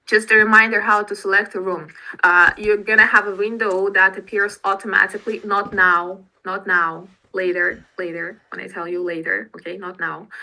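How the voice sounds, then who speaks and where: A woman with a Russian accent speaks at medium pitch and a moderate pace, her bright, sharp tone flat and monotone in intonation but with big swings in loudness. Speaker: English teacher. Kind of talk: online class instructions. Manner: halting.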